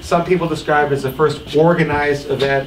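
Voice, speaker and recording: Speaking with fairly even intonation, a man is heard with audible room echo and light background noise. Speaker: master of ceremonies for a political advocacy group; speaker. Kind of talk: public speech at event. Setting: barn with live audience. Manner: loud. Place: hall. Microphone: handheld.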